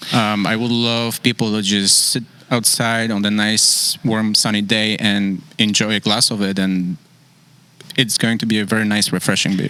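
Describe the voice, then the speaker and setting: Over noticeable background noise, a man with a fairly low pitch talks at a moderate pace in a flat monotone. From Poland. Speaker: brewery co-founder and brewer. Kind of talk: casual chat.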